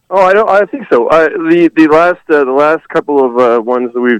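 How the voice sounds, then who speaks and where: A man's fairly slow delivery in a plain, everyday voice, with ordinary pitch variation and a dry, close sound with no echo. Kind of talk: casual banter on a phone call.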